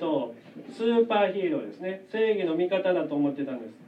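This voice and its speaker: At a moderate pace, a gentle-toned voice comes through over noticeable background noise. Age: 40s. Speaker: children's church teacher. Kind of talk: children's sermon. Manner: gentle, addressing children.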